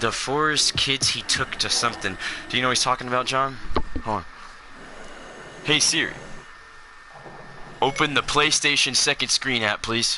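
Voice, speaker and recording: A man at medium pitch and moderate pace, fairly even intonation, long and frequent pauses, noticeable background noise. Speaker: gaming livestreamer. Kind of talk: casual chat. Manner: loud.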